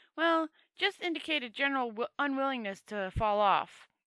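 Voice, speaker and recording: A woman puts on a high-pitched character voice with very wide pitch swings at a moderate pace. The recording is very clean and dry, close with no echo and a silent background. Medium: read story.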